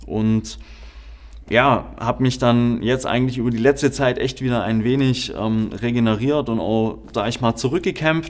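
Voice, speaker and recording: At a fairly slow pace, a man talks in a normal speaking voice with medium pitch and fairly even intonation. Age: 20s. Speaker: podcast host. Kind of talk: podcast introduction monologue.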